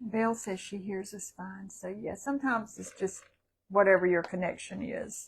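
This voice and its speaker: At a moderate pace, a woman with a Southern US accent speaks in a medium pitch with fairly even intonation and big swings in loudness. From South Carolina. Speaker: livestream co-host. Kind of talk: casual chat.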